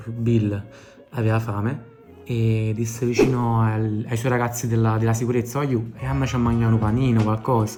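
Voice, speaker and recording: Over music in the background, a man with a Neapolitan accent speaks at a moderate pace and medium pitch. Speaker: travel vlogger. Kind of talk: improvised humorous travel storytelling to camera. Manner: casual, comic.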